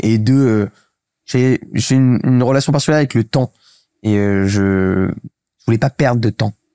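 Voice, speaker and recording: A man's dark, mellow tone with ordinary pitch variation, dry and close with no echo, in a very clean recording with a silent background. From Paris, France. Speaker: startup co-founder. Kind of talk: casual interview. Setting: host's home, filmed. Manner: fast.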